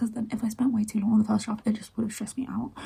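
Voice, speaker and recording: A woman whispering, somewhat breathy. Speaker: writing vlogger / aspiring novelist. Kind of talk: casual vlog chat. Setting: at home early morning. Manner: rambling, fast.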